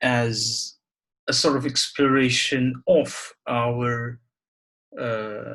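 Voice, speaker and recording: Flat and monotone, a man with a Bengali accent speaks very slowly at a medium pitch. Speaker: poet. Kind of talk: reflective talk and poetry reading. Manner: halting, with repetitions and fillers.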